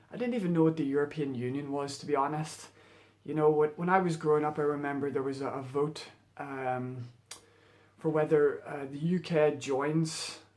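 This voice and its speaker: A man talks at a moderate pace with a Northern Irish accent. His pitch is fairly high and his intonation fairly even. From Northern Ireland. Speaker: vlogger. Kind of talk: casual monologue vlog. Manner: halting, many fillers.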